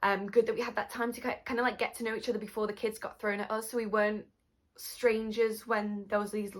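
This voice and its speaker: A woman with a British accent and a fairly high pitch speaks at a fairly quick pace. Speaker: YouTuber. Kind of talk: casual vlog chat. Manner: animated.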